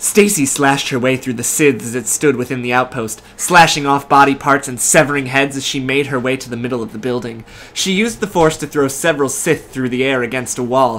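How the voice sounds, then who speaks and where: A man talks fairly quickly in a normal speaking voice, at a medium pitch with ordinary pitch variation. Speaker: YouTube fanfiction reader co-host. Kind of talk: casual chat with dramatic reading of fanfiction. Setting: living room of an apartment, soup cooking in background. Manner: joking, laughs often.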